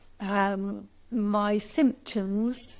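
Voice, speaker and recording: A woman's fairly high-pitched voice with fairly even intonation, a normal speaking voice. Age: 60s. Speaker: recovered patient sharing testimony. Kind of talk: testimony.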